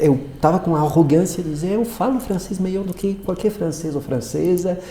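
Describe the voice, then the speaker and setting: Somewhat breathy and dark, mellow in tone, a man's voice is heard. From Morocco. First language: French (speaking Portuguese). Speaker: psychoanalyst. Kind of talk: interview. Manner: halting, many fillers.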